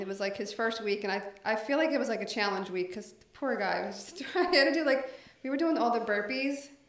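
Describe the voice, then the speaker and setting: A woman talks fairly quickly at a fairly high pitch, her intonation lively and her loudness swinging a lot. The room echoes audibly, and background noise is noticeable. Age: 40s. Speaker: paralegal and business owner, gym member. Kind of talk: casual interview.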